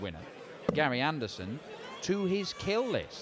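The tone is animated and excited. Pitch swings very widely. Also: man. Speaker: darts commentator. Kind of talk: live sports commentary. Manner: animated, fast, excited play-by-play.

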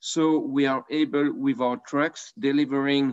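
A man with a French accent at a fairly slow pace, over a quiet background. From France. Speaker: wine merchant; panelist. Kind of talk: panel discussion. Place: home room. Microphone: video call.

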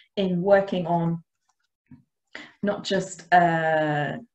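A woman's fairly even intonation with audible room echo.

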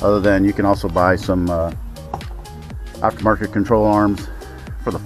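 Clear music plays behind a man speaking at a moderate pace, the sound dry with no echo. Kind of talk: tutorial. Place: street. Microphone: phone near.

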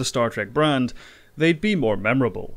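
The speaker is a man with an ordinary speaking voice. His pace is fairly quick and his intonation lively. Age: 20s. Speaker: video game commentary YouTuber. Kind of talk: scripted narration.

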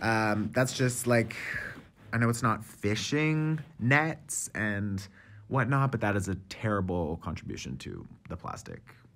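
A man's medium-pitched voice, fairly slow in pace, with lively intonation. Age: 30s. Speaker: tarot reader and podcast host. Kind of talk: casual monologue. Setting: cafe. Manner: animated.

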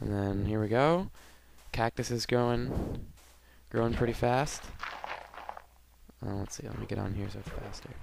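Here a man with a medium pitch talks at a moderate pace, with long, frequent pauses. Room echo is audible and background noise is noticeable. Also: ordinary pitch variation. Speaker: gaming video creator. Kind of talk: let's play commentary. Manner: low energy, subdued.

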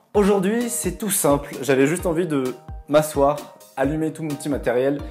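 Faint music plays behind a man who talks at a fairly quick pace, his pitch fairly high and his intonation lively. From Bordeaux, France. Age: 20s. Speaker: TV series reviewer YouTuber. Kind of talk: casual talk to camera. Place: home room.

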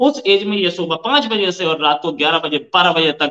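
A male speaker over a quiet backdrop. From India. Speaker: news channel host. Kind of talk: interview. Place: home room. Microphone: webcam.

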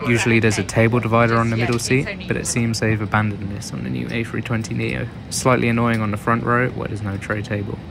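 A man with a British accent talks at a very fast pace in a medium pitch with fairly even intonation. Audible room echo and noticeable background noise are present. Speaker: travel vlogger. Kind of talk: scripted narration. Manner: monotone.

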